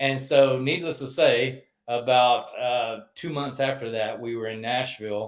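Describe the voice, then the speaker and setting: In a Texas accent, a man talks at a fairly slow pace with medium pitch and fairly even intonation. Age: 60s. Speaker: metal vocalist. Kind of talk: interview.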